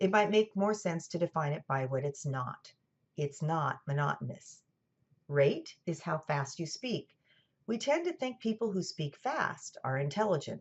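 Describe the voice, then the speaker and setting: A woman with a General American accent speaks at a moderate pace and a fairly low pitch. Her somewhat breathy voice swings very widely in pitch. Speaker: college lecturer. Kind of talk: lecture. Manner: scripted, clear narration.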